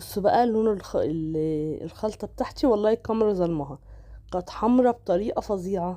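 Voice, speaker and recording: A woman with an Egyptian accent, medium pitch, a dark, mellow tone, lively intonation and a moderate pace. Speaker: cooking vlogger. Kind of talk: cooking tutorial. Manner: casual, chatty.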